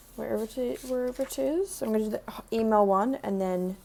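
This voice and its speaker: In an Australian accent, a woman speaks at a moderate pace in a fairly high pitch with very wide pitch swings. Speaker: makeup artist vlogger. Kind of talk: vlog, casual talk to camera. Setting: in a store. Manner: casual, rambling with fillers.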